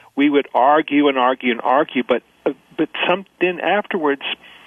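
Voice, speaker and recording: Noticeable background noise surrounds a man whose voice sits fairly high in pitch. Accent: American. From Mississippi, US South. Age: 50s. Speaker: social scientist, think tank founder. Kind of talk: radio interview. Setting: radio interview. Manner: halting, many false starts.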